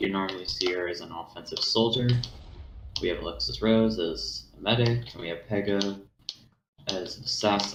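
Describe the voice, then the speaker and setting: A man with a fairly low pitch talks at a moderate pace, using lively intonation. Long, frequent pauses break up his speech, and room echo can be heard. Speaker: co-commentator. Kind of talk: live commentary.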